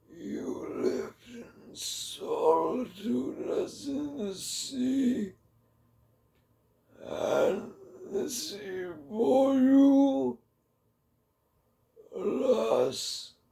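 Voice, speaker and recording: A man's raspy put-on character voice at a very slow pace, broken by long, frequent pauses. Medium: read story.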